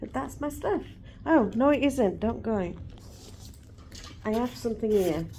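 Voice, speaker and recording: A woman speaks at a fairly slow pace with an English accent, her dark, mellow tone edged with vocal fry. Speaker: vlogger. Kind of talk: casual chat. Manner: loud.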